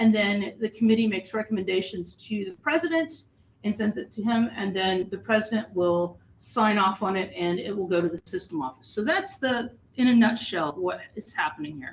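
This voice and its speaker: With noticeable background noise behind her, a woman speaks at a moderate pace and medium pitch with lively intonation. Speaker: faculty trainer, college instructor. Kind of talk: training presentation. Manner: loud.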